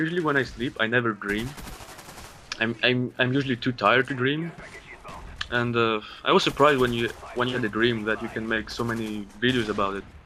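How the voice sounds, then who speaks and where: A man with a Greek accent speaks at a fairly quick pace, with long, frequent pauses. His intonation is fairly even, and noticeable background noise is present. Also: medium pitch for a man. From Greece. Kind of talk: gaming commentary.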